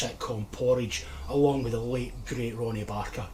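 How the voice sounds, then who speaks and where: Over noticeable background noise and audible room echo, a man with a Scottish accent talks at a moderate pace and medium pitch. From Scotland, Lanarkshire area. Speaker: nostalgia YouTuber. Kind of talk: scripted narration.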